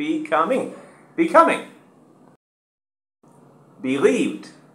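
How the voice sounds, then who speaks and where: A man with long, frequent pauses amid audible room echo. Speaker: English teacher. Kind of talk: pronunciation drill. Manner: slow, clear, syllable by syllable. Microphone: webcam.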